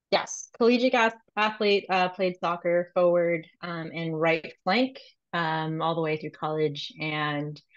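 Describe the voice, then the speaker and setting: Ordinary pitch variation runs through a woman's fairly low-pitched, unremarkable speaking voice. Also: fairly slow pace. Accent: American. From South Florida, Miami area. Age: 30s. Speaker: law student and paralegal, fitness client. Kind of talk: casual podcast interview.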